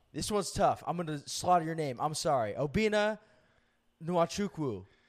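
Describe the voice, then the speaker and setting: On a very clean recording with a silent background, a man speaks in a fairly high voice with very wide pitch swings and an animated tone. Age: 20s. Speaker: comedian and podcast co-host. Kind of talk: casual chat.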